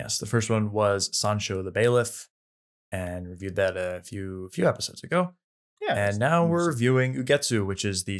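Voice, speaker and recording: Over a quiet background, an unremarkable speaking voice moves at a moderate pace with lively intonation. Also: man. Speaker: podcast co-host. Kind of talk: casual film discussion. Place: home room.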